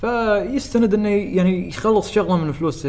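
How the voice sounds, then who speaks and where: A man is speaking, and noticeable background noise can be heard behind him. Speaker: YouTuber. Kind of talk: casual chat.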